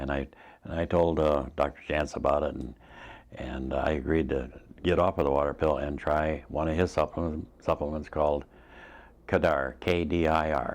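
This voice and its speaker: With a very deep, low pitch and vocal fry, a man speaks in fairly even intonation. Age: 70s. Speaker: patient giving testimonial. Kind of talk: testimony. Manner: halting, many fillers and restarts.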